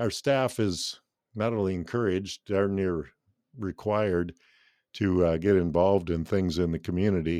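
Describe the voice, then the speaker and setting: Against a quiet background, a man with a very deep, low pitch and a dark, mellow tone speaks at a fairly slow pace. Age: 60s. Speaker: radio station owner. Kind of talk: interview.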